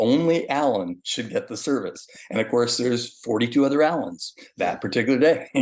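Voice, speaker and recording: Using an animated tone, a man with a fairly high pitch and ordinary pitch variation speaks at a fairly quick pace. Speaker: hospital board commissioner and candidate. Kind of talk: interview. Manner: fast.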